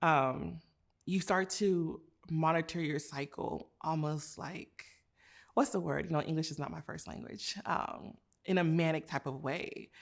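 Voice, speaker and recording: With vocal fry and ordinary pitch variation, a woman speaks at a fairly slow pace in a very deep, low voice. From United States, several states (born in Nigeria, moved at four). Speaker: physician. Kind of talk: interview, personal testimony.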